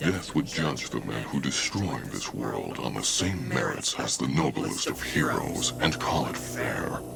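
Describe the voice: Over clear background noise, a man puts on a character voice at an extremely low pitch, with vocal fry, lively intonation and a fairly slow pace.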